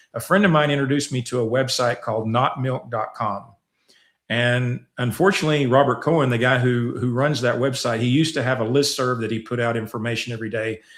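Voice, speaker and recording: Very fast and at medium pitch, a man with an American accent talks in a fairly even intonation on a very clean recording with a silent background. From US South. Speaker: scientist and nutrition researcher. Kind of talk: interview. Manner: halting, repeats words.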